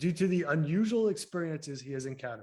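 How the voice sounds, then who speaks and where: The speaker has a Massachusetts accent. The recording is very clean, with a silent background. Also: man. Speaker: podcast co-host. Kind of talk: casual interview chat; reading a guest introduction.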